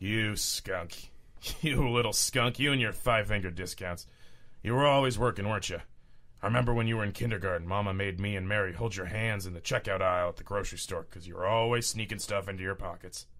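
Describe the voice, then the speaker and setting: Putting on a character voice, a man goes at a very fast pace with a raspy sound and a fairly low pitch. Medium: audio drama. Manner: swaggering, casual, says "man" a lot.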